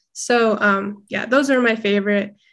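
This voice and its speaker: A woman speaks at a moderate pace with a fairly high pitch, recorded very cleanly against a silent background. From Alaska, Fairbanks. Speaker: college student. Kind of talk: interview.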